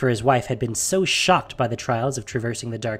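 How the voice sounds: The speech has a natural reading voice and lively intonation.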